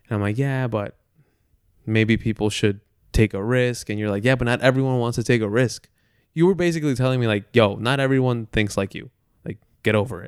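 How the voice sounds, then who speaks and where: Fairly quick speech from a man at medium pitch, ordinary pitch variation, long and frequent pauses, very clean recording with a silent background. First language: Spanish. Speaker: podcast co-host. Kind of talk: casual chat.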